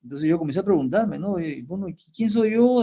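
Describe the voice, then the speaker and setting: The man's voice is high in pitch, with a dark, mellow tone. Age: 70s. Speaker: pastor and Bible teacher. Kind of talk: interview testimony. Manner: halting, many fillers.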